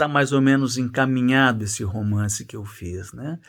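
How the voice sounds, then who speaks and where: Medium pitch from a man, with ordinary pitch variation. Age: 60s. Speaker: journalist and writing teacher. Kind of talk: casual course introduction.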